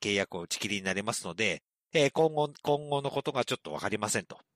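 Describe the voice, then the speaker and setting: A man is speaking. His pitch is medium. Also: dry, close sound with no echo, very clean recording, silent background. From regional Japan, outside Tokyo. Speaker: main podcast MC. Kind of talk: casual comedy chat. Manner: laughs often.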